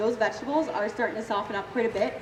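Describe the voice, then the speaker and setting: A very fast-talking woman with a Canadian accent, amid noticeable background noise and audible room echo. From Ontario, Canada. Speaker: cooking demonstrator. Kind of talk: live cooking demo.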